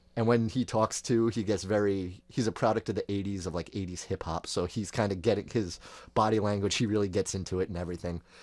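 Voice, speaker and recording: In a very clean recording with a silent background, a man speaks very fast at a fairly low pitch. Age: 30s. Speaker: podcast co-host. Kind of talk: casual chat. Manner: animated.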